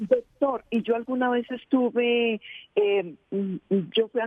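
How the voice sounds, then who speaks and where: Her pitch fairly high and her intonation fairly even, a woman speaks at a very slow pace. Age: 60s. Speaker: caller. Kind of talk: phone-in question.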